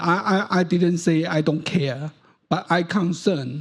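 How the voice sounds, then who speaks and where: A man speaks at a very slow pace in a high voice. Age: 70s. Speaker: audience member, professor. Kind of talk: audience question at panel. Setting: conference hall. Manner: halting, repetitive.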